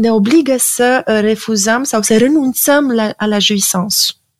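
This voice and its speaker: A woman speaks in an ordinary speaking voice, fairly high in pitch. Her pace is fairly slow and her pitch variation ordinary. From Romania. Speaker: psychoanalyst and art critic. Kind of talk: interview.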